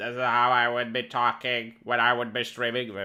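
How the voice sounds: Using a put-on character voice, a man talks at a moderate pace in a raspy, medium-pitched tone with monotone, flat intonation.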